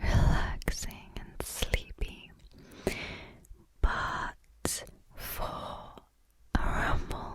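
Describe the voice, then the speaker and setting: A woman whispers very slowly while noticeable background noise carries on around her. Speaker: ASMR creator. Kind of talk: whispered ramble. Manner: whispering; natural pace.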